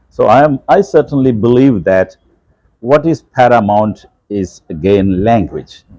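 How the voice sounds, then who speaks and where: A man with a medium pitch and a dark, mellow tone talks at a fairly slow pace with lively intonation. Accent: Keralan. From India, Kerala. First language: Malayalam. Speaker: English professor. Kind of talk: interview.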